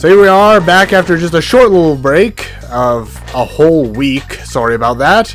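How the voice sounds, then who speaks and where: A man's high-pitched voice with lively intonation, backed by music. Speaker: let's play gamer. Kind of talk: casual gameplay commentary.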